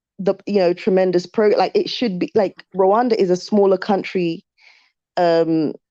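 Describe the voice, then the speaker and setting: Here a woman has a dark, mellow tone, a medium pitch, and fairly even intonation at a moderate pace. The sound is dry and close with no echo. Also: very even loudness. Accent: London. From UK. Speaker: YouTuber. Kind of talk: live stream chat. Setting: live stream. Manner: halting.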